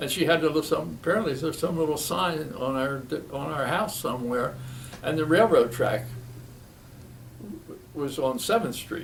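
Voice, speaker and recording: A man with an American accent speaks at a fairly high pitch, leaving long, frequent pauses, and audible room echo surrounds his voice. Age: 90s. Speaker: retired physician. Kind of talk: oral history interview. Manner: halting.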